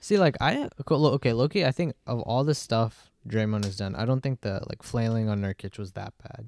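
A man speaks in an ordinary speaking voice at a medium pitch, with ordinary pitch variation and hardly any pauses. The recording is very clean and dry, close with no echo, over a silent background. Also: moderate pace. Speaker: college student. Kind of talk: casual chat.

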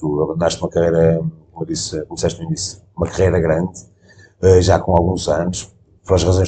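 Somewhat breathy and fairly quick, a man speaks at a very deep, low pitch with a dark, mellow tone. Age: 40s. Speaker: podcast host. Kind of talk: interview conversation. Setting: on location in a restaurant.

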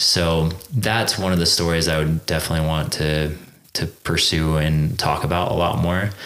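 With an American accent, a man talks at a moderate pace in a very deep, low pitch, his loudness very even, over noticeable background noise. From Central California. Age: 30s. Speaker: actor. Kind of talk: casual chat.

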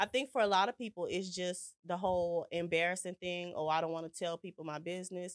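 Recorded dry and close with no echo, a woman with a fairly low pitch and an unremarkable speaking voice talks at a fairly quick pace with fairly even intonation and hardly any pauses. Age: 30s. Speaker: ministry partner and entrepreneur. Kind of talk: casual chat.

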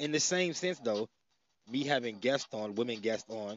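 A man's voice at medium pitch and a moderate pace. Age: 30s. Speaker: podcast host. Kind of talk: casual monologue.

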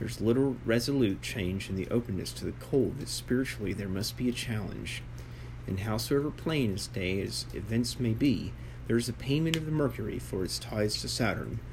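In an American accent, a man with a fairly low pitch talks at a fairly quick pace with very wide pitch swings, and audible room echo. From United States. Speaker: author reading own book. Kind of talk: reading aloud.

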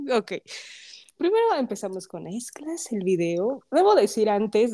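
A woman speaks in an animated tone. Her pace is moderate and her pitch varies in an ordinary way. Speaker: podcast host. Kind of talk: casual chat.

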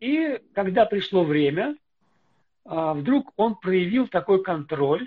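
A man speaks at a high pitch with very wide pitch swings. His pace is very slow and his loudness very even. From Russia. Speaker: pastor. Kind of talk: casual chat.

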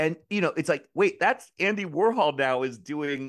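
There is vocal fry in this man's voice, which has an American accent and sits against a quiet background. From US, Maryland. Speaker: drag performer and filmmaker. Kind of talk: casual interview.

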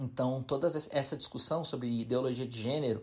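In a plain, everyday voice, a man speaks at a medium pitch and moderate pace with fairly even intonation. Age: 40s. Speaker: pastor. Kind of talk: recorded testimony.

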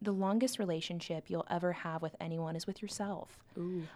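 The voice has a dark, mellow tone, captured in a very clean recording with a silent background. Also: woman. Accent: Midwestern American. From Nebraska, Omaha. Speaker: university program coordinator. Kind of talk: casual chat. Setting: studio.

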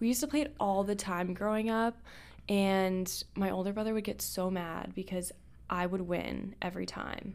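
A woman with an unremarkable speaking voice talks at a moderate pace, her medium pitch carried on fairly even intonation. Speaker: podcast host. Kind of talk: casual chat.

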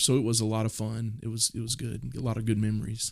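A man's medium-pitched voice with a Southern US accent at a fairly quick pace, on a very clean recording with a silent background. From US South, Mississippi. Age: 40s. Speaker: pastor. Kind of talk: podcast interview. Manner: casual, hesitant with fillers.

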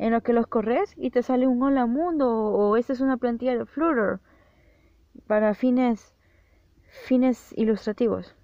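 Long, frequent pauses break up a woman's moderate-paced speech, pitched fairly high with ordinary pitch variation. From El Salvador. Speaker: podcaster and freelance programmer. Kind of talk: solo podcast monologue.

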